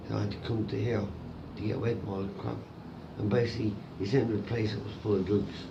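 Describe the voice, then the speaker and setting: In an Irish accent, a man with a fairly low voice speaks at a very fast pace in a monotone, flat delivery. Audible room echo and noticeable background noise surround him. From Ireland. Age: 40s. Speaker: homeless man. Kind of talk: interview. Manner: halting.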